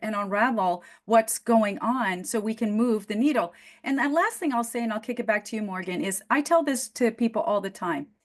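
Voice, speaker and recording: A woman with a non-native accent speaks at a moderate pace. Her intonation is lively. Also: hardly any pauses. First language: not English. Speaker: business coach. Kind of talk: interview conversation.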